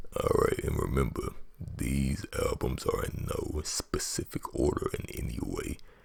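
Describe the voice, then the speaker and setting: Whispering from a man at a fairly slow pace amid noticeable background noise. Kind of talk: ASMR whisper talk about favorite albums. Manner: whispered.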